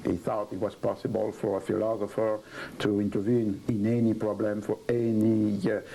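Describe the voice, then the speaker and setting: A fairly low-pitched man with a French accent at a moderate pace. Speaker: historian. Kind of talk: interview. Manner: halting.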